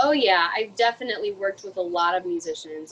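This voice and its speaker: Here is an ordinary speaking voice with ordinary pitch variation. A woman talks at a fairly quick pace. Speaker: songwriter and vocalist. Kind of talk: interview answer. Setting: video call.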